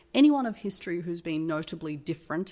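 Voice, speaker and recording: This woman speaks with an Australian accent. Her pitch is fairly low. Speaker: tech company CEO. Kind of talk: casual interview.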